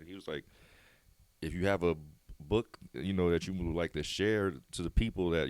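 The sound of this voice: At a fairly quick pace, a man speaks with low pitch, a slightly mellow tone, and fairly even intonation.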